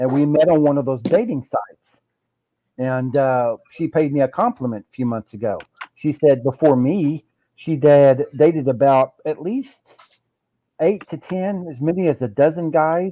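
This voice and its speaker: A man with a fairly high pitch speaks at a moderate pace with ordinary pitch variation and a plain, everyday voice. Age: 60s. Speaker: video chat participant. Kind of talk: casual chat.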